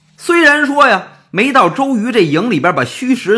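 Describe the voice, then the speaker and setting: Speaking at a fairly slow pace, a man uses a raised, projected voice at an extremely high pitch. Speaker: storyteller. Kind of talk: traditional storytelling performance. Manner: animated.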